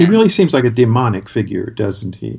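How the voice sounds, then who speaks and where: Noticeable background noise runs behind this man's voice. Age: 60s. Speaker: critic and playwright. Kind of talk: casual chat.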